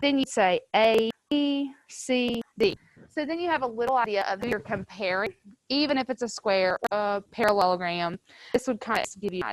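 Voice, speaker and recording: With a normal speaking voice, a woman talks at a moderate pace and fairly high pitch, her intonation lively and the sound dry and close with no echo. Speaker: high school math teacher. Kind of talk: classroom lecture. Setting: classroom with students, also streamed to virtual learners.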